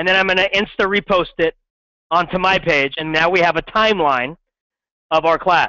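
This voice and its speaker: A man speaks loudly at a moderate pace. His pitch is high. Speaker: middle school science teacher. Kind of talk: classroom lecture. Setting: classroom with students. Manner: animated.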